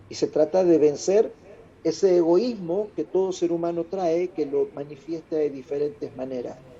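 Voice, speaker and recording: A man's high-pitched voice with a dark, mellow tone and an Argentine accent, ordinary pitch variation, and a moderate pace. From Argentina. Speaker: international speaker. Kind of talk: interview. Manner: loud.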